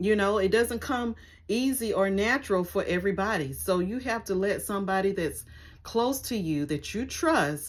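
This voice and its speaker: On a very clean recording with a silent background, a woman with a plain, everyday voice speaks at a medium pitch and a moderate pace with lively intonation. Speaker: vlogger. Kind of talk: casual vlog talk to camera.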